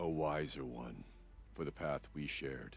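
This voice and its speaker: A man speaks in a put-on character voice with very deep, low pitch. His pace is moderate, and clear background noise is present. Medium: video game. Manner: solemn, grave.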